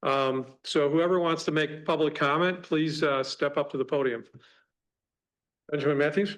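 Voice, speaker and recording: Against a quiet background, a man at a fairly high pitch speaks at a moderate pace with long, frequent pauses, fairly even intonation and very even loudness. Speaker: village president chairing meeting. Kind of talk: public meeting chairing. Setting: council chamber with audience.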